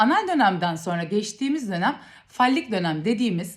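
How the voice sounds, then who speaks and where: A woman speaks at a moderate pace with a fairly high pitch. Her voice is somewhat breathy, and it swings very widely in pitch. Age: 30s. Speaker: parenting educator. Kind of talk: educational talk to camera.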